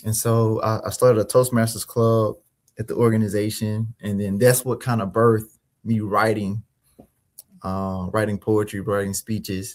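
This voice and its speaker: Recorded very cleanly against a silent background, a man with an American accent speaks at a fairly low pitch and a moderate pace in a monotone, flat intonation. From Mississippi, US South. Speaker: finance consultant and author. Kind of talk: interview. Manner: hesitant, many fillers and repeats.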